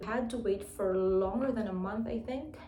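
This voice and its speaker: A woman talks at a moderate pace with a fairly high pitch and ordinary pitch variation. Noticeable background noise and audible room echo are present. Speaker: English teacher and vlogger. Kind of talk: tutorial vlog.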